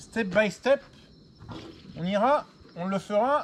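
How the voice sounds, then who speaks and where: Here a man speaks at a high pitch with ordinary pitch variation. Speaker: vlogger. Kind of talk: personal video diary. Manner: loud; halting.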